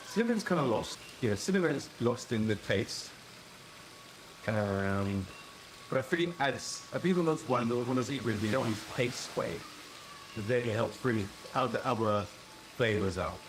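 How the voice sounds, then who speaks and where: Over noticeable background noise, a man of medium pitch speaks at a fairly slow pace with long, frequent pauses and very even loudness. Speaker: rum reviewer. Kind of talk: casual talk to camera.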